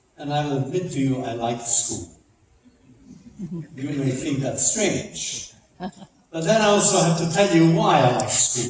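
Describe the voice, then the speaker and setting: A man speaks at a fairly slow pace with lively intonation, long and frequent pauses, and audible room echo. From Czechoslovakia. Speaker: Holocaust survivor and speaker. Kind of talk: public talk. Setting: church with audience. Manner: emphatic storytelling.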